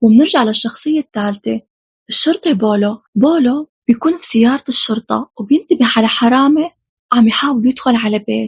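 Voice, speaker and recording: In a Syrian accent, a woman speaks at a high pitch and a moderate pace, with ordinary pitch variation and big swings in loudness. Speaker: film recap narrator. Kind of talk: horror film plot recap. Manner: casual, chatty.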